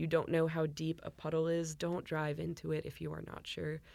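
A woman with an American accent, very deep, low pitch and monotone, flat intonation at a moderate pace, in a very clean recording with a silent background. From US, Northern Virginia. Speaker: emergency management outreach staff. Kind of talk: podcast interview.

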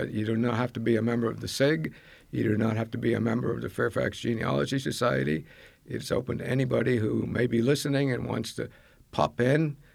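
There is vocal fry in this man's voice. He talks very fast with lively intonation. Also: medium pitch for a man. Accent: American. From Maine, US. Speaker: genealogy group leader, retired army officer. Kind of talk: interview.

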